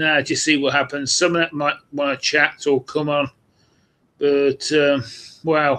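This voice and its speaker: The speaker has a British accent and a monotone, flat intonation. The pace is fairly slow. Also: man. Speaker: vinyl collector vlogger. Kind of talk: live stream monologue. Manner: hesitant, many fillers.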